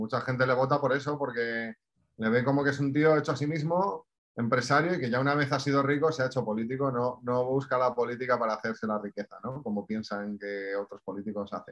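A man uses an ordinary speaking voice at a medium pitch. He moves at a fairly quick pace with ordinary pitch variation. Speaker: podcast co-host. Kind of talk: casual chat.

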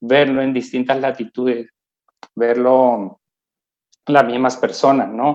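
A man talks at a very slow pace in a medium pitch, his intonation monotone and flat, with long, frequent pauses. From Colombia. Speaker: multinational company employee. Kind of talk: interview.

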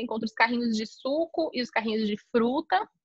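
Speaking at a fairly quick pace, a woman has a high pitch and ordinary pitch variation. The sound is dry and close, with no echo. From Brazil, São Paulo. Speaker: travel agency owner. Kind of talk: casual interview.

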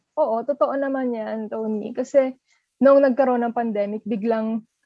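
Here a woman with an unremarkable speaking voice talks at a moderate pace and fairly high pitch with fairly even intonation. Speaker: relationship editor, co-host. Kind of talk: podcast chat.

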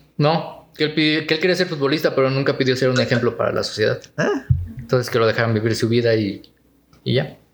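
Pitch variation is ordinary, and the loudness stays very even. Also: man, fairly high pitch for a man. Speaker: podcast co-host. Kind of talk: casual chat. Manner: serious, newsreader-like.

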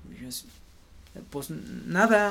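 A man is speaking here. He talks with a central Mexican accent. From Mexico City. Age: 30s. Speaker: missionary base leader. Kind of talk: interview.

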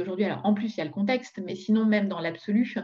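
Her pitch sits at a medium level. The woman's pitch variation is ordinary. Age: 40s. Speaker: entrepreneur. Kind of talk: interview. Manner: halting.

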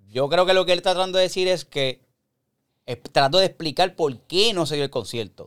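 Pitch moves in an ordinary way. The speaker talks at a fairly quick pace. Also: man. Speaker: podcast host. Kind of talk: casual chat. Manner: animated.

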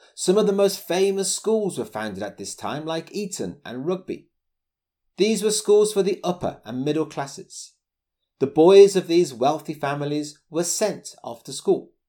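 A man's high-pitched voice, dark and mellow in tone, with ordinary pitch variation at a moderate pace, on a very clean recording with a silent background. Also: big swings in loudness. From Birmingham, England. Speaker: English teacher and podcaster. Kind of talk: scripted educational monologue. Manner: clear, formal, measured.

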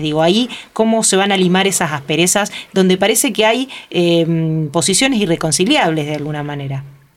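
A woman at medium pitch with lively intonation and a fairly quick pace, against noticeable background noise. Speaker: radio host. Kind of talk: interview; formal introduction.

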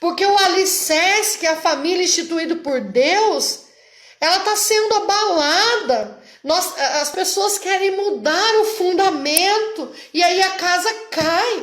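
Speech comes at a very slow pace with ordinary pitch variation and audible room echo. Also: woman, extremely high pitch for a woman. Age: 40s. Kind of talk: religious teaching talk. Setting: online live stream.

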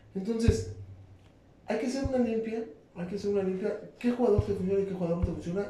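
Animated in tone, the voice races at a very fast pace over noticeable background noise. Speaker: sports show co-host. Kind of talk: casual sports debate.

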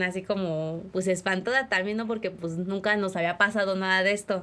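A woman speaks at a fairly quick pace in a medium pitch. She has a plain, everyday voice with fairly even intonation. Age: 20s. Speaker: interviewee, young mother. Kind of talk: testimony.

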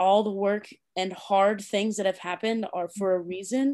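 Speaking with an American accent at a moderate pace, a woman has a medium pitch and fairly even intonation, in a very clean recording with a silent background. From Indiana, US Midwest. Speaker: basketball coach. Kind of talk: podcast interview.

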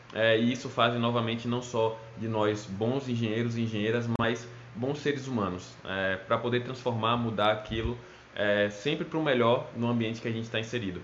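Over noticeable background noise and audible room echo, a man talks at a moderate pace with a medium pitch and fairly even intonation. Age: 20s. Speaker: petroleum engineer. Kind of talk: recorded talk to students.

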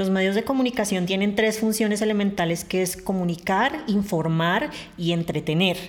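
Noticeable background noise sits behind a woman speaking at a medium pitch and moderate pace. Her loudness stays very even, and her pitch varies in an ordinary way. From Colombia, Bogotá. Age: 30s. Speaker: adult content creator and journalist. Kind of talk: interview.

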